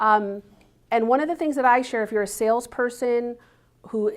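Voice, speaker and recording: Speaking at a fairly quick pace, a woman uses a fairly high pitch with ordinary pitch variation. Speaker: business coach speaker. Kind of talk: seminar talk. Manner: fast.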